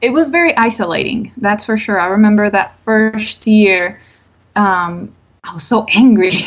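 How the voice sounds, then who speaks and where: A woman with a Spanish accent speaks at a fairly high pitch with ordinary pitch variation. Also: moderate pace. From Colombia. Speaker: mental health therapist. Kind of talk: podcast interview.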